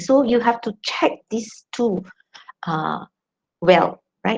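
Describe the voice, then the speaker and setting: Her voice sounds somewhat breathy. The woman's intonation is lively. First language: not English. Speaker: academic journal editor and lecturer. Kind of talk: academic talk. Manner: hesitant, many fillers.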